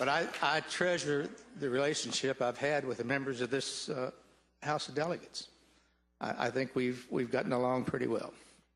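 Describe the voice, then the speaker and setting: Noticeable background noise surrounds a man speaking at a medium pitch and moderate pace. His loudness stays very even and his intonation fairly even. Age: 70s. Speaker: retiring state legislator. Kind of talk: farewell speech. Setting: legislative chamber floor. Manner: formal.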